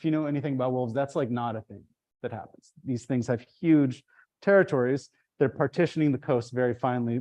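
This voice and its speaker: A man speaks very fast at a medium pitch, his dark, mellow tone rising and falling in big swings of loudness. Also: ordinary pitch variation. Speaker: ecology professor. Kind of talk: lecture. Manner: animated.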